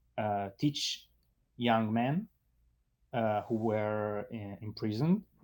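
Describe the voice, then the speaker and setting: On a very clean recording with a silent background, a man talks very slowly with an Italian accent. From Italy. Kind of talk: interview. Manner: halting, many fillers.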